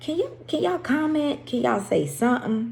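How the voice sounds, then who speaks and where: With very wide pitch swings, a woman speaks at a moderate pace in a somewhat breathy voice. Audible room echo surrounds her. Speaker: women's faith group leader. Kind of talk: faith devotional talk. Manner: stumbling.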